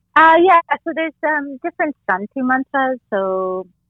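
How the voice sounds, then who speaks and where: A woman with an American accent and lively intonation at a fairly slow pace, with music in the background. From Orange County, California. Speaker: yoga teacher. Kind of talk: interview.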